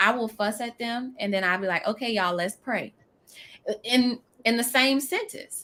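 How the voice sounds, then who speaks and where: With an American accent, a woman speaks at a moderate pace in a bright, sharp tone. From New Orleans. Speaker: business coach. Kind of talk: live stream interview.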